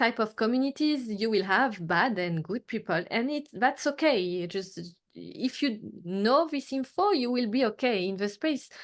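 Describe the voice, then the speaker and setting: A woman's fairly high voice in a French accent, at a moderate pace with ordinary pitch variation, against a quiet background. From Martinique, Caribbean (French). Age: 30s. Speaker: artist and photographer. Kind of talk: interview. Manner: halting, many fillers.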